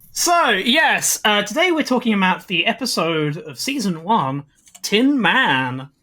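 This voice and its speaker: A woman's medium-pitched British-accented voice with a bright, sharp tone, vocal fry, very wide pitch swings and a fairly slow pace. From Britain. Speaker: podcast co-host. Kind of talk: casual chat.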